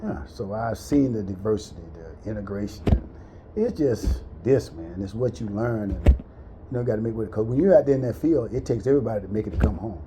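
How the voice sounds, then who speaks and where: Over noticeable background noise, a man with a fairly low voice talks at a fairly quick pace, with lively intonation and big swings in loudness. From US South, central Florida. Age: 60s. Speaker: military veteran. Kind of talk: casual chat, life story.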